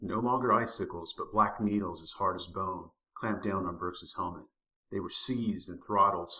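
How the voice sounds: Quiet surroundings and a natural reading voice, its pitch varying in an ordinary way.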